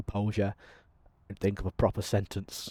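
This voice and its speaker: Speaking at a moderate pace in an English accent, a man with a dark, mellow tone is heard in a very clean recording with a silent background and a dry, close sound with no echo. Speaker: gaming YouTuber. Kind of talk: gameplay commentary. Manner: frequent 'um' fillers.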